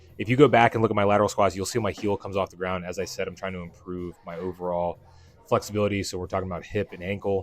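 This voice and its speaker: Over music in the background, a man with a very deep, low voice talks at a very fast pace in a fairly even intonation. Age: 30s. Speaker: fitness vlogger, powerlifter. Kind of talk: voiceover narration of training footage. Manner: casual, conversational with fillers.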